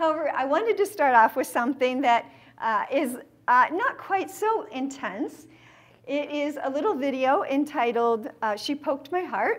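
With a Californian accent, a woman speaks at a fairly slow pace in a high pitch, her voice making very wide pitch swings. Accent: General American (Californian). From San Diego, California. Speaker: theology speaker; speaker. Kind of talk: lecture. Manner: animated. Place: meeting room.

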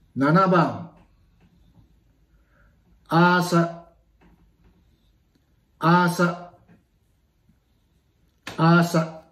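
A man's high voice, monotone and flat, at very even loudness, with long, frequent pauses and audible room echo. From Miyako Island, Okinawa. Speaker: pronunciation leader for language practice. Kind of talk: vocabulary pronunciation drill. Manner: slow, clear. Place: home room. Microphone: phone near.

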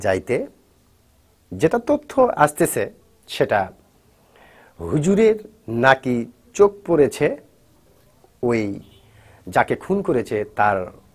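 With a quiet background behind him, a man speaks with very wide pitch swings. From Bangladesh. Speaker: YouTube news commentator. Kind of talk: news commentary vlog addressed to viewers. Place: studio. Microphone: lapel.

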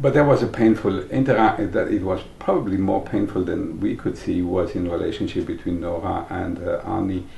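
A man speaks with hardly any pauses. Audible room echo fills the sound. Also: fairly quick pace. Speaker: early member of a psychology training school. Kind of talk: documentary interview. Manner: halting.

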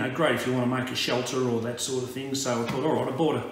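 A man talking at a fairly quick pace, with audible room echo and light background noise. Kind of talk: casual vlog chat. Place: home room. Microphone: camera far.

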